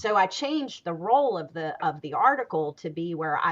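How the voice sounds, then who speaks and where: A woman talks at a moderate pace in a fairly low voice with lively intonation. She has an ordinary speaking voice. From US South, Greensboro, North Carolina. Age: 50s. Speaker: talk show host. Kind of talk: panel discussion.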